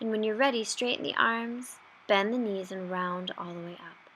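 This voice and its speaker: At a moderate pace, a woman talks in a medium pitch. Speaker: yoga instructor. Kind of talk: guided yoga class. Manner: patient.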